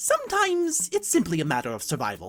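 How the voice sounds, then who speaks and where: A put-on character voice races along at a very fast pace. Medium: read story. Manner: affectionate, whimsical, gently musing.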